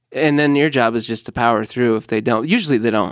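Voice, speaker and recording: In a very clean recording with a silent background, a man with an American accent and a plain, everyday voice speaks at a moderate pace. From Illinois. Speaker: comedian. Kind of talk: casual chat.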